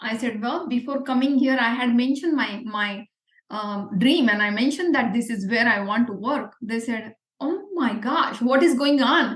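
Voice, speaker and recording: At a moderate pace, a woman speaks with a high pitch and ordinary pitch variation in a Marathi Indian accent. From India, Pune. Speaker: entrepreneur. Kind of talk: interview.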